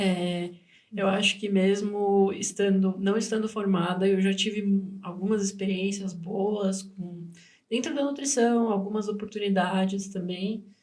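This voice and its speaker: At a fairly slow pace, a woman speaks at a medium pitch with fairly even intonation, and the room echo is audible. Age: 20s. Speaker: nutrition student and podcast co-host. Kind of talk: casual podcast conversation.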